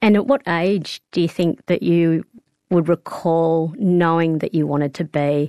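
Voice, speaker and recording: In an Australian accent, a woman speaks with a dark, mellow tone, a fairly low pitch and ordinary pitch variation. The sound is dry and close, with no echo. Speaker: radio host. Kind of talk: interview.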